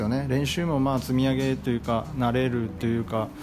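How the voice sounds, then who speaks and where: A man speaks at a moderate pace. Room echo is audible, and there is noticeable background noise. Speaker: rice farmer and podcaster. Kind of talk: casual solo monologue. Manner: halting, many filler pauses.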